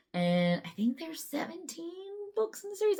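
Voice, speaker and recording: A woman talks very fast in a somewhat breathy voice. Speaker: book vlogger. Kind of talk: casual vlog talk.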